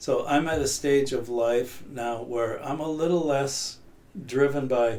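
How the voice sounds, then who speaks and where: At a fairly slow pace, a man speaks at a fairly high pitch with fairly even intonation and audible room echo. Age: 60s. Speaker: person in long-term addiction recovery. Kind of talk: podcast interview. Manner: reflective, halting.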